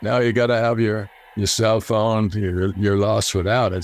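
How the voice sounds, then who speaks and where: A man with an American accent, fairly low in pitch and monotone, flat in intonation, over noticeable background noise. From Ireland, Clondalkin, Dublin. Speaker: former NFL player. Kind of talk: casual interview storytelling. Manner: halting, many fillers and repetitions.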